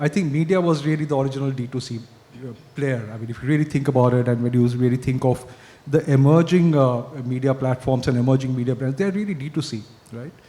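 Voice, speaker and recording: Speaking at a very fast pace, a somewhat breathy man with a dark, mellow tone keeps a medium pitch with ordinary pitch variation. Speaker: advertising strategy executive. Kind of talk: panel discussion.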